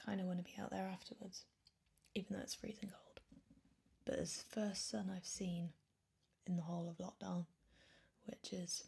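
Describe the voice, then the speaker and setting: A woman's medium-pitched voice with vocal fry, ordinary pitch variation, and long, frequent pauses. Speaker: ASMR creator. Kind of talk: soft-spoken ASMR crystal collection presentation. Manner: soft-spoken, slow.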